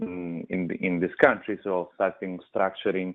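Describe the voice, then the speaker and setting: With an Italian accent, a man speaks at a fairly low pitch. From Italy, Rome. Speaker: food company manager. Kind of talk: radio interview. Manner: halting, many fillers.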